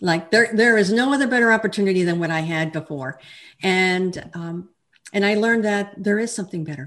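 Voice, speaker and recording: A woman with an American accent speaks at a medium pitch and a fairly quick pace, in an ordinary speaking voice. Her pitch variation is ordinary, and the recording is very clean with a silent background. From Texas, El Paso. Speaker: life coach and author. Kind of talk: interview.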